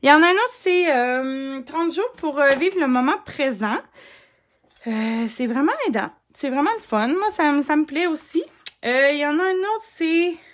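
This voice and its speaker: In a Quebec accent, a woman with a high pitch and an animated tone speaks at a fairly slow pace with very wide pitch swings and long, frequent pauses. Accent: Québécois French. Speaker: scrapbooking crafter and live streamer; live streamer. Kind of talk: casual live stream crafting chat. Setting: Facebook live stream. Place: home room.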